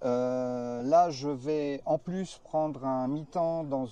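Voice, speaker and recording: A dark, mellow tone. The intonation stays fairly even. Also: man. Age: 60s. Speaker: expat graphic designer. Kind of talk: interview. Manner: hesitant, many filler sounds.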